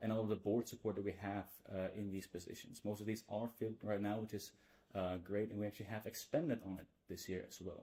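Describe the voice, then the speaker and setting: A man speaks at a very fast pace. His fairly low voice has a dark, mellow tone. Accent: Dutch. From Netherlands, Amsterdam. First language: Dutch. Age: 20s. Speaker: student association board member. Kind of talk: presentation.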